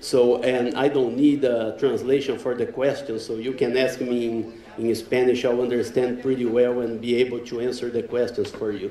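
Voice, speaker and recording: In a room with audible echo and noticeable background noise, a man with a Brazilian accent speaks at a moderate pace in a monotone, flat intonation. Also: medium pitch for a man. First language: Portuguese. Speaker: professor. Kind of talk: lecture. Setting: conference stage with audience. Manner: hesitant, with fillers.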